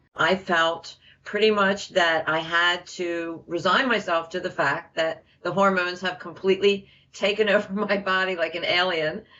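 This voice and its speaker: There is noticeable background noise in this clip. A woman speaks at a moderate pace with fairly even intonation. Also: medium pitch for a woman. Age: 50s. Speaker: program participant giving testimonial. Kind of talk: testimony.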